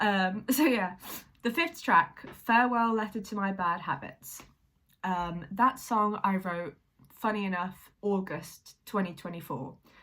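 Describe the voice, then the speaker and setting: A woman's bright, sharp voice at medium pitch, with lively intonation and a fairly slow pace. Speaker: singer-songwriter vlogger. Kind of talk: casual vlog talk. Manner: hesitant, many fillers.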